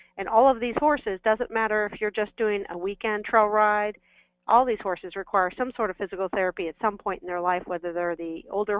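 A woman speaks in a plain, everyday voice at a fairly quick pace. Her pitch is medium, with ordinary variation. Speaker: veterinarian. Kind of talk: expert Q&A on live webinar. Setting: phone call.

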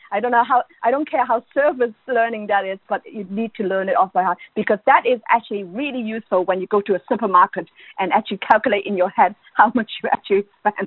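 Barely pausing, a woman talks at a very fast pace with a fairly high pitch. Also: ordinary pitch variation. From Ireland. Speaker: education academic. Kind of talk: interview.

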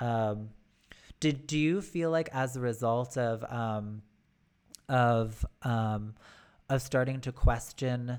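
Recorded very cleanly against a silent background, a woman with an American accent talks very slowly in a very deep, low voice with ordinary pitch variation. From United States. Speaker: podcast host. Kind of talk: interview chat.

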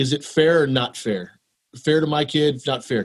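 A man with a Texan accent speaks at a moderate pace in a fairly high voice. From Texas. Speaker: elementary school principal. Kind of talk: casual interview.

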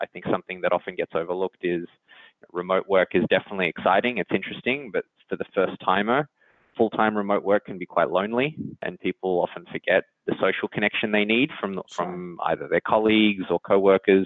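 The speaker has an Australian accent. The pace is very fast. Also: man, fairly low pitch for a man, ordinary pitch variation. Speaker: engineering executive. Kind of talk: interview.

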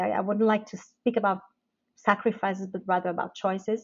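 This woman speaks with a Portuguese accent. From Portugal. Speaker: business executive. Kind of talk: interview. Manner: hesitant with fillers.

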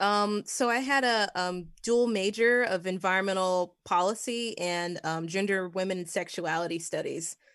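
A woman's normal speaking voice at a medium pitch, with ordinary pitch variation, a moderate pace and hardly any pauses, over a quiet background. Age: 30s. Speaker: horror writer. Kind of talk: casual chat.

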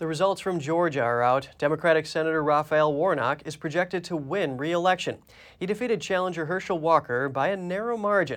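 In a quiet background, a man with a plain, everyday voice and fairly high pitch talks at a fairly quick pace with ordinary pitch variation. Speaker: news anchor. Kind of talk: news reading. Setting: studio.

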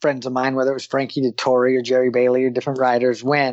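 A man speaks in an unremarkable speaking voice at a medium pitch. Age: 40s. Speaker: jockey. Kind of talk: casual chat.

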